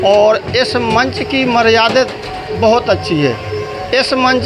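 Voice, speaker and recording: An extremely high-pitched male voice with ordinary pitch variation, audible room echo and noticeable background noise. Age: 60s. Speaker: Ramlila stage actor. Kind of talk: interview.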